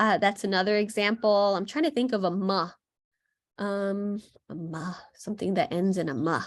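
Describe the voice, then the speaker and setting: A woman's medium-pitched voice in an American accent, with ordinary pitch variation. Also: moderate pace. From New York City. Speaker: plant educator. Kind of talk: online class lecture. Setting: video call. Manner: halting, many fillers.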